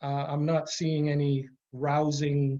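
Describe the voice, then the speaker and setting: Here a man is speaking. His voice is pitched fairly high. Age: 60s. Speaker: pastor. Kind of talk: talk to an audience. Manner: halting.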